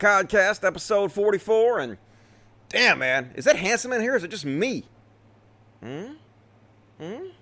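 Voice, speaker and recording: In a Southern US accent, a man projects a raised, high-pitched voice with a bright, sharp tone, very wide pitch swings and long, frequent pauses. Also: moderate pace, big swings in loudness. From US South, Mississippi. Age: 40s. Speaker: political commentator, live streamer. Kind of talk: casual live stream chat. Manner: casual, profane.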